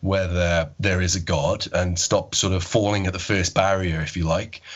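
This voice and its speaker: A man speaks in a Welsh accent with a very deep, low pitch. His intonation is fairly even, and his pace is moderate. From Wales. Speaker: agnostic podcast producer. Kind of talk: podcast interview.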